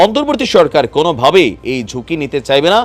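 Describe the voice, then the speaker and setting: A man speaks at a fairly high pitch with vocal fry. His pitch swings very widely. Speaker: political news YouTuber. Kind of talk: news commentary. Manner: laughs while talking; casual, conversational.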